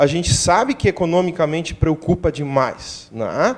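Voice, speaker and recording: This man speaks with a high pitch. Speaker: doctor. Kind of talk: TV interview.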